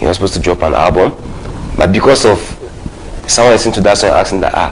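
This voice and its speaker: Over noticeable background noise, a man talks very fast in a fairly low voice with ordinary pitch variation. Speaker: hip hop artist. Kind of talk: talk show interview. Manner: halting, many repetitions.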